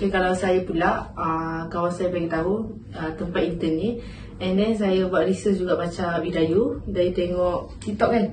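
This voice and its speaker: Noticeable background noise and audible room echo surround a woman whose fairly low voice keeps a fairly even intonation. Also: moderate pace. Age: 20s. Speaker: university intern. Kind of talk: casual interview. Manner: hesitant.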